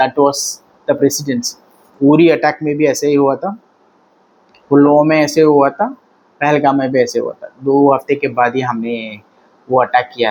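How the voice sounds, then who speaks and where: A man with a Tamil accent speaks at a moderate pace in a fairly high voice, with fairly even intonation and long, frequent pauses. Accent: Tamil-accented non-native Hindi. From Tamil Nadu, India. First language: Tamil (speaking Hindi). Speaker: political commentator. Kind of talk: political commentary monologue. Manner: halting, with fillers.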